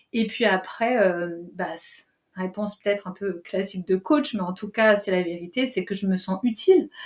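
A woman talks at a moderate pace in a medium-pitched, somewhat breathy voice. Her pitch varies in an ordinary way. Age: 40s. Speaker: coach and trainer. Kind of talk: interview.

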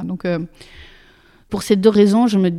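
A woman with a dark, mellow tone speaks with ordinary pitch variation. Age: 40s. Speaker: actress and speaking coach. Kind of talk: interview testimony. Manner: hesitant.

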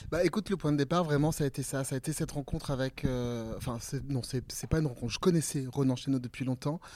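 A man speaks very fast with a dark, mellow tone. His pitch is fairly high, with ordinary variation. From central France (Limousin). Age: 40s. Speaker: playwright, director and actor. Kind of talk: interview.

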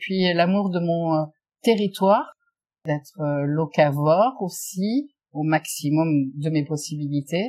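Over a quiet background, a woman with a fairly low pitch, a dark, mellow tone, and a somewhat breathy voice uses lively intonation at a very slow pace with long, frequent pauses. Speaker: shop owner. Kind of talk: interview.

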